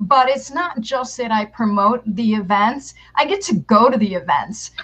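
With an American accent, a woman speaks at a fairly high pitch and a fairly slow pace in a bright, sharp tone over a quiet background. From New York. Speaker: public relations consultant and marketing teacher; marketing teacher. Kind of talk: interview. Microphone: headset.

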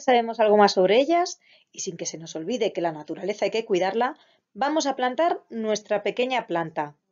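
A woman speaks fairly quickly at a fairly high pitch, with big swings in both loudness and pitch. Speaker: preschool teacher. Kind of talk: lesson for young children.

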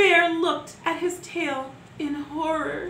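Slowly and with fairly even intonation, a woman speaks at an extremely high pitch in a bright, sharp tone, with audible room echo.

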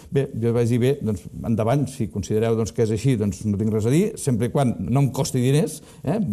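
A man's dark, mellow tone at a fairly quick pace, with very even loudness, ordinary pitch variation and a quiet background. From Catalonia, Costa Brava (Palamós); Catalonia, Spain. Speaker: business consultant; interview guest. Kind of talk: interview. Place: studio. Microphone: lapel.

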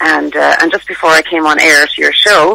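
A woman speaks at a low pitch with vocal fry. Her tone is bright and sharp. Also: fairly even intonation, moderate pace.

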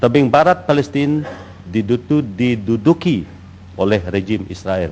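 Lively intonation marks this man's delivery, which moves at a very slow pace. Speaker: deputy minister. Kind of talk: parliamentary answer. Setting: parliament chamber. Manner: halting.

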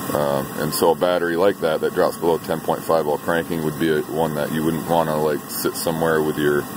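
A man with a very deep, low pitch, monotone, flat intonation, a fairly quick pace and hardly any pauses, in a dry sound with no echo amid noticeable background noise. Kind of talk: tutorial. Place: garage. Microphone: phone near.

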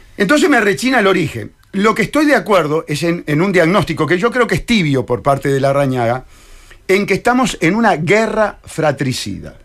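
A man with a Uruguayan accent, high-pitched and animated, with very wide pitch swings, over a quiet background. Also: moderate pace. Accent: Rioplatense Spanish (Uruguayan). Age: 60s. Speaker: presidential candidate; candidate. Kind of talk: radio interview. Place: studio. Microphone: studio mic.

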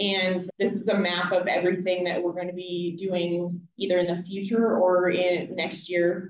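Light background noise and audible room echo around a woman at a moderate pace. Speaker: hydrologist presenting report. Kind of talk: meeting presentation. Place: hall.

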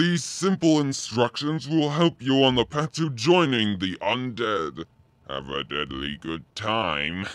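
A man puts on a cartoonish character voice. He speaks fairly slowly at a medium pitch. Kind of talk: mock educational film narration. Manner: ghoulishly cheerful.

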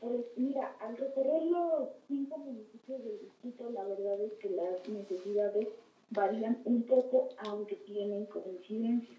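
Audible room echo surrounds speech that is fairly slow, with ordinary pitch variation. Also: woman, fairly high pitch for a woman. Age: 20s. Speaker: political candidate. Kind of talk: interview. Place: studio.

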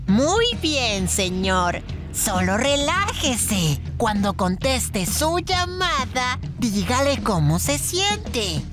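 Over loud music in the background, a female-sounding voice puts on a character voice at a very slow pace. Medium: dub.

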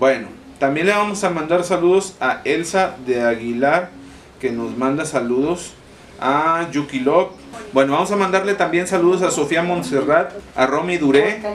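A man at a moderate pace, ordinary pitch variation, light background noise behind him. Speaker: family vlogger. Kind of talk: casual vlog shout-outs. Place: home room. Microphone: camera far.

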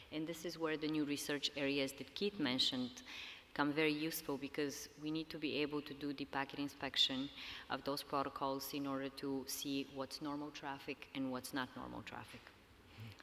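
A woman speaks at a fairly quick pace in a very deep, low voice with flat, monotone intonation. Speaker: industrial security executive, panelist. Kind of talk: conference panel Q&A. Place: stage.

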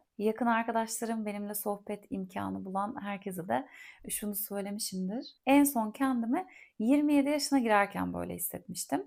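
A woman talks at a moderate pace in a calm, relaxed tone, her fairly high pitch moving with ordinary variation. The recording is very clean, with a silent background. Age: 40s. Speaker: podcast host and content creator. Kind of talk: casual solo monologue. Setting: home recording in a quiet holiday house.

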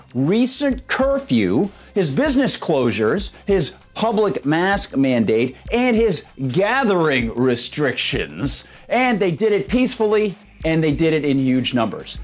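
A man talks at a fairly slow pace. His pitch swings very widely. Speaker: online news commentator. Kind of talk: commentary. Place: studio.

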